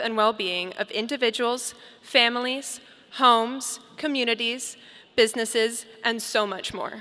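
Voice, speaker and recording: Noticeable background noise surrounds a woman with an American accent. She talks at a fairly slow pace and a fairly high pitch. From Colorado, US. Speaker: graduating student speaker. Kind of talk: commencement speech. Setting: stage with audience. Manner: formal.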